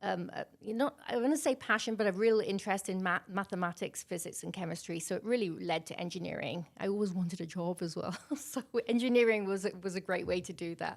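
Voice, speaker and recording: A woman with a British accent talks at a very fast pace, her medium pitch showing ordinary variation. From Wales, Milford Haven area. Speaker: major projects external relations leader. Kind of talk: interview.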